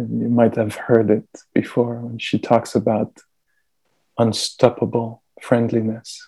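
Very slow, monotone speech from a man with a French accent, medium-pitched with a dark, mellow tone. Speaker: meditation teacher. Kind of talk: dharma talk and guided meditation. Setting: video call. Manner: soft-spoken.

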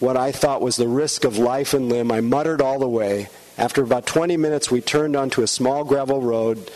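Just a natural reading voice

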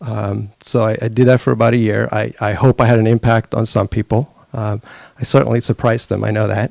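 Talking at a fairly quick pace, a man with vocal fry keeps a medium pitch and fairly even intonation in a dry, close sound with no echo. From Sweden. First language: Swedish. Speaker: conference attendee. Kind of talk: casual talk.

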